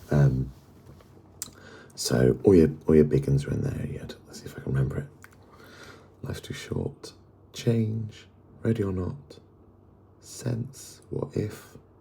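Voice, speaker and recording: A man with a very deep, low pitch speaks quietly at a fairly slow pace, with very wide pitch swings, big swings in loudness and long, frequent pauses. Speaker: music fan vlogger. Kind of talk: casual vlog. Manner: quiet, hushed; halting, many fillers.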